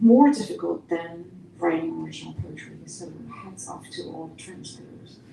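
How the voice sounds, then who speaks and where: A woman's loudness swings widely. Noticeable background noise is present. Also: moderate pace. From East Germany. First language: German. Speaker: poet and university teacher. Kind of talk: Q&A answer.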